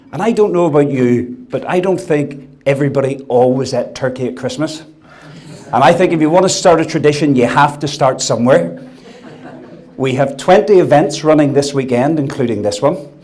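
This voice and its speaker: Amid noticeable background noise and audible room echo, a man speaks fairly quickly with a fairly high pitch and ordinary pitch variation. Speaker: food industry executive. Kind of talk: after-dinner speech. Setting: dinner event with audience.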